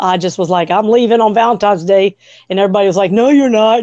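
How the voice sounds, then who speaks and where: This woman has a medium-pitched voice with a dark, mellow tone. Her pitch varies in an ordinary way. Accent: slight Southern US. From Washington, D.C. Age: 50s. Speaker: intuitive healer and massage therapist. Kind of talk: interview. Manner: fast.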